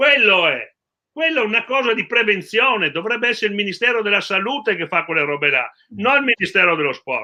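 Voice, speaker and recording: High-pitched male speech swinging very widely in pitch. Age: 70s. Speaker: regional sports federation president. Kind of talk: live talk show discussion.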